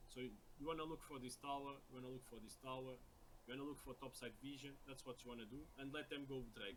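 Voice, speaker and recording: A man with a non-native accent talks at a very fast pace. His pitch varies in an ordinary way. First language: not English. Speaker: video game coach. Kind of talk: coaching session review. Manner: halting, repeated words.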